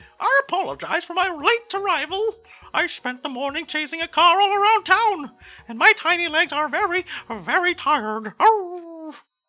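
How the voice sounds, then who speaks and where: Faint music sits in the background of a put-on character voice pitched extremely high. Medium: role play.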